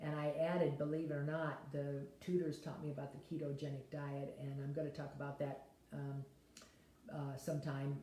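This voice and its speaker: Amid audible room echo, a woman with a very deep, low pitch and a dark, mellow, somewhat breathy tone speaks at a moderate pace in a flat, monotone way. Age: 70s. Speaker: health vlogger. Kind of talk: casual talk to camera. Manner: rambling, conversational with fillers.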